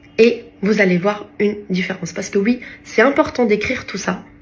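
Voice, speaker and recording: Noticeable background noise fills the recording. A fairly high-pitched woman talks with ordinary pitch variation. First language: not French (speaking French). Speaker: lifestyle vlogger. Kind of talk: casual vlog talk to camera. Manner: halting, many hesitations.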